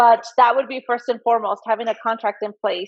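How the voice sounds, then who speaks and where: A woman speaks with fairly high pitch and ordinary pitch variation. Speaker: dog breeder and interview host. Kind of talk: video interview chat. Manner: loud, flamboyant.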